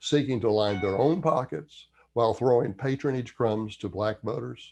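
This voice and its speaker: The speaker talks with a Southern US accent. The background is quiet. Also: man. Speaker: history commentator. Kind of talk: history commentary read from notes.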